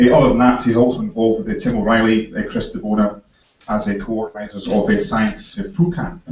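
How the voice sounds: Speaking at a fast pace, a man has a fairly low pitch.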